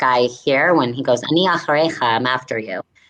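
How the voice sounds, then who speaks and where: A woman with an American accent at a moderate pace. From United States. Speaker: comedian. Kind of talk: casual chat. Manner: animated.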